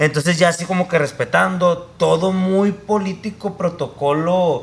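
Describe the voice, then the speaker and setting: A man speaks in a high pitch. His intonation is fairly even. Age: 30s. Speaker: filmmaker. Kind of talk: casual chat.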